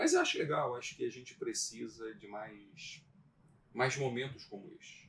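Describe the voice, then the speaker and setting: The man's loudness rises and falls in big swings as he keeps to a moderate pace. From Brazil, Magé (Baixada Fluminense, Rio de Janeiro state). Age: 50s. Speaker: lawyer. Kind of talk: casual interview chat.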